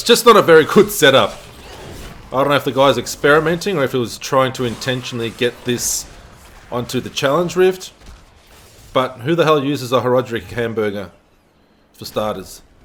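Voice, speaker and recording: A man with an Australian accent and a medium pitch talks at a fairly quick pace with lively intonation. Long, frequent pauses break up his speech, and there is noticeable background noise. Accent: Australian, noticeable in pronunciation. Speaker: gaming video creator and streamer. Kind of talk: gameplay tutorial commentary. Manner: casual, unscripted, some hesitations.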